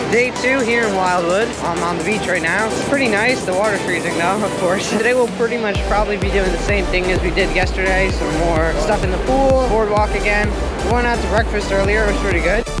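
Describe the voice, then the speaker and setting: Loud music plays behind a man who talks at a fairly quick pace with hardly any pauses, the sound dry with no echo. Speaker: vacation vlogger. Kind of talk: casual vlog chat. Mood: cheerful, relaxed. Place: beach. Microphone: phone near.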